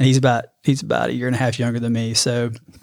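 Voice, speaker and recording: A man with an Alabama accent speaks at a medium pitch in a monotone, flat delivery. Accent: US Southern (Alabama). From Alabama, Birmingham. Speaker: amateur runner, father of three. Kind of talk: casual chat.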